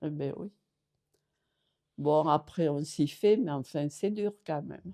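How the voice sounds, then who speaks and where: Very slowly, a woman speaks in a very deep, low voice with a dark, mellow tone. Her pitch varies in an ordinary way while her loudness swings widely. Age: 80s+. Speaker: care home resident. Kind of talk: interview. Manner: halting.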